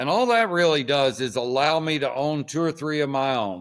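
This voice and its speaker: A man with an unremarkable speaking voice talks at a moderate pace with ordinary pitch variation, recorded very cleanly against a silent background. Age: 60s. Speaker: horse trainer. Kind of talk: interview.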